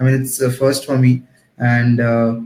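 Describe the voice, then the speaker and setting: This man's voice sits at a medium pitch, moving at a moderate pace with a somewhat breathy quality. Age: 20s. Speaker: digital marketing professional and trainer. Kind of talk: live online talk show interview. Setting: Facebook Live video stream.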